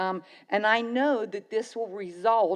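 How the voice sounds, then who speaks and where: A woman's medium-pitched voice with an American accent. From western Pennsylvania. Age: 70s. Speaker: local resident speaking at public meeting. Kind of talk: public comment at council meeting.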